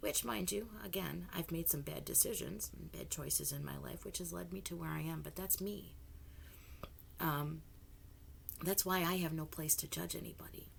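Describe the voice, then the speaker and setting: A woman talks at a moderate pace. Her voice carries audible room echo. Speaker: political commentary vlogger. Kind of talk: casual monologue. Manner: halting, many restarts.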